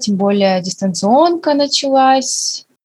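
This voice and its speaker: A woman talks with lively intonation and a somewhat breathy voice. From Russia, Makhachkala (Dagestan). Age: 20s. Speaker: nurse and medical student. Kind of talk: casual chat.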